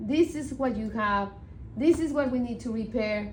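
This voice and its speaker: This woman speaks high, her pitch moving in a typical way, with room echo clearly audible. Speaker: community design project lead. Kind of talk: work meeting.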